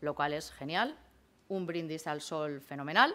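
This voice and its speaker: This woman's voice has a bright, sharp tone. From Spain, Castilla-La Mancha. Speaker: law professor. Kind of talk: conference talk. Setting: conference hall with audience. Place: hall. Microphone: podium.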